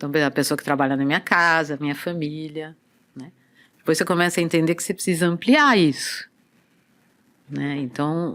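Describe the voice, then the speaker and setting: In a very clean recording with a silent background, a woman with a very deep, low voice speaks with ordinary pitch variation and long, frequent pauses. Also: fairly quick pace, big swings in loudness. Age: 60s. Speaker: movement and body-awareness teacher. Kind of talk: casual interview chat.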